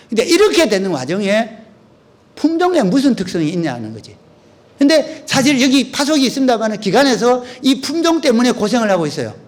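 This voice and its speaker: This man's pitch is extremely high, with very wide swings. He talks at a fairly quick pace amid audible room echo. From Korea, North Gyeongsang (Uiseong). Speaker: agricultural researcher and lecturer. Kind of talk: lecture. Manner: conversational, with frequent fillers.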